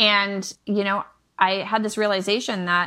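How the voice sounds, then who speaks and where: Medium in pitch, a woman with an American accent speaks at a moderate pace in a bright, sharp tone. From Michigan, US Midwest. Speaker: online business coach and homeschooling mother. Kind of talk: casual interview chat. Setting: remote podcast recording.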